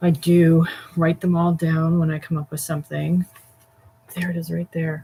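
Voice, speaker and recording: A woman speaks with a very deep, low pitch in a monotone, flat intonation. Noticeable background noise is present. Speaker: voice actor. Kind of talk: casual talk to camera explaining voiceover character process. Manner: chatty, humorous, rambling.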